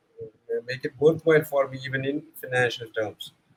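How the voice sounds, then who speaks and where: A man's fairly high-pitched voice at a moderate pace, with music in the background. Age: 70s. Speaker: corporate content manager, former English teacher. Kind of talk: casual group discussion. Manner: halting, many fillers.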